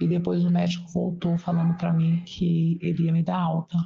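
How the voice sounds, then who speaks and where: Somewhat breathy delivery at a fairly slow pace. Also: woman. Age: 60s. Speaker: interviewee sharing personal experience. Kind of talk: testimony. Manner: halting.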